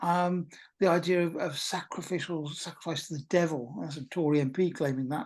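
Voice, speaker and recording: A woman with a British accent and a very deep, low pitch, fairly quick and fairly even in intonation, against a quiet background. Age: 60s. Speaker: talk presenter at a pagan meetup. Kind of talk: informal lecture. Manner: hesitant, many fillers.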